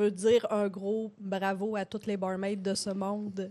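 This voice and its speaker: The speech comes at a very slow pace with monotone, flat intonation over a quiet background. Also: woman. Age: 30s. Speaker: podcast co-host, hairdresser. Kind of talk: casual chat. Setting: live stream from home studio.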